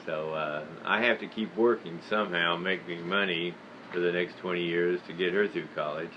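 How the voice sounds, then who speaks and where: In an American accent, a man with a very deep, low voice speaks at a fairly slow pace with monotone, flat intonation, over noticeable background noise. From United States. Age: 70s. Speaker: video blogger on history and faith. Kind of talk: personal monologue. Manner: halting, many fillers.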